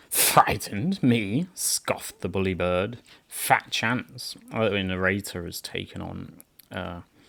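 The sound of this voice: With ordinary pitch variation, an unforced reading voice carries the text.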